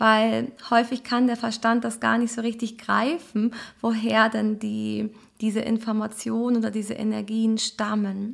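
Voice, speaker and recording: Over a silent background in a very clean recording, a woman talks fairly slowly at a fairly high pitch, her tone calm and soothing and her intonation monotone and flat. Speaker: astrologer and transformation coach. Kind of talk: guided meditation; recorded astrology message. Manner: calm, slow, soothing.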